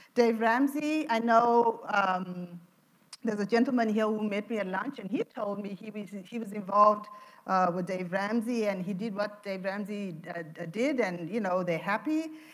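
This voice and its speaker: Noticeable background noise surrounds a woman of medium pitch who speaks at a moderate pace with ordinary pitch variation. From Zimbabwe. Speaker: financial counselor. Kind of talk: seminar talk.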